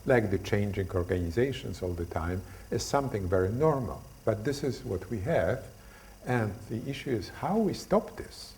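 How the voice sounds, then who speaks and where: Somewhat breathy and in a Polish accent, the voice moves at a moderate pace with lively intonation and audible room echo. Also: man. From Poland. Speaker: lecturer on stress. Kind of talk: lecture. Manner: halting, many fillers.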